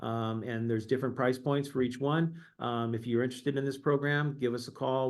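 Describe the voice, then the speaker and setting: This man has a medium pitch and fairly even intonation. He talks at a fairly quick pace. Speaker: insurance company representative. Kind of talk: webinar presentation. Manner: fast; hesitant fillers.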